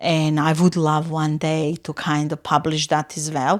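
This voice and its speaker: A woman with a non-native accent talks at a fairly slow pace on a very clean recording with a silent background. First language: not English. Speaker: florist and floristry teacher. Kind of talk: interview. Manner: loud; halting.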